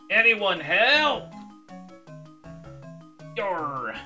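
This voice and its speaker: A put-on character voice over clear background music. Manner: exaggerated, comic, distressed.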